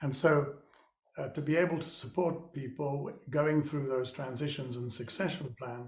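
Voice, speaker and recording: Somewhat breathy and fairly high in pitch, a man keeps a moderate pace with fairly even intonation. Audible room echo surrounds the voice. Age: 70s. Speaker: social entrepreneur and mentor. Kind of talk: webinar conversation. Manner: halting.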